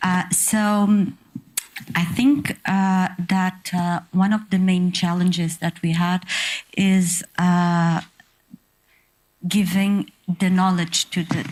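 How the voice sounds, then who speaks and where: A woman speaks in a somewhat breathy, medium-pitched voice with a Portuguese accent, very slowly and with very even loudness, her intonation monotone and flat, broken by long, frequent pauses. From Portugal. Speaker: panelist. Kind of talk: conference panel discussion. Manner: halting.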